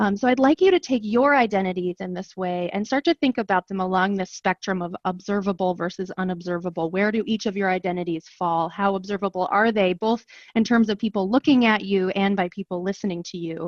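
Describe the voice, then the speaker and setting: A woman with an American accent talks at a fairly quick pace with hardly any pauses, her pitch medium and ordinarily varied: a plain, everyday voice. The sound is dry and close with no echo, over a quiet background. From rural US. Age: 30s. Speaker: professor. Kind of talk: workshop instruction.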